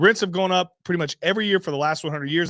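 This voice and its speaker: With an animated tone and fairly high pitch, a man is heard in a dry, close sound with no echo on a very clean recording with a silent background. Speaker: real estate investor and show host. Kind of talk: opinionated monologue. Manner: loud.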